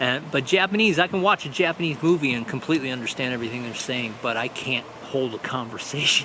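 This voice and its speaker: Speaking with an American accent at a very fast pace with hardly any pauses, a man with a medium pitch and lively intonation is heard over noticeable background noise. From Michigan, near Detroit. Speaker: vlogger. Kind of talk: casual vlog monologue. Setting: outdoors on a beach.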